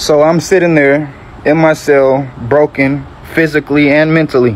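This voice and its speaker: Over noticeable background noise, a man with an American accent speaks at a fairly high pitch and a moderate pace, his intonation fairly even and his loudness very even. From US South, Georgia (Metro Atlanta). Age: 20s. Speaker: convert sharing story. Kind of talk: testimony.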